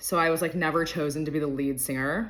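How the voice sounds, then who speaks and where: Very fast and animated, a woman speaks in a very deep, low pitch with a bright, sharp tone. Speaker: lifestyle podcaster and mentor. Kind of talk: casual monologue.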